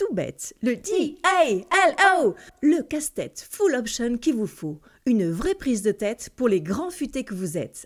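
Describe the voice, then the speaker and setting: Noticeable background noise sits behind a woman with an upbeat tone. She speaks at a fairly slow pace with very wide pitch swings. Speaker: voice-over artist. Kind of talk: satirical radio-style column. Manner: upbeat, ironic.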